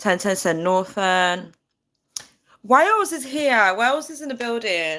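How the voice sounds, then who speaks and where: A woman speaks fairly slowly in a fairly high, bright, sharp voice, with very wide pitch swings and big swings in loudness. The recording is very clean, with a silent background. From UK, not London. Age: 30s. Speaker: livestreamer. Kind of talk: casual live chat. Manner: chatty, reading viewer comments.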